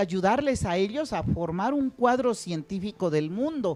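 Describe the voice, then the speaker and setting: A woman speaks at a very slow pace in a dark, mellow tone, with very wide pitch swings. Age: 60s. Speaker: teacher. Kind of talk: lecture.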